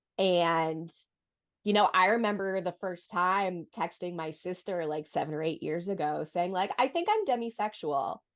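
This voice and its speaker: At a moderate pace, a woman speaks in an ordinary speaking voice at a medium pitch with ordinary pitch variation, against a quiet background. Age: 30s. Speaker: convention panelist. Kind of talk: panel discussion.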